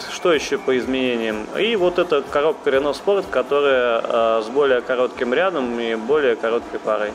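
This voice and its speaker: Keeping very even loudness, a man speaks at a fairly slow pace over noticeable background noise. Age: 30s. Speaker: rally driver. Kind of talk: interview. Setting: cafe.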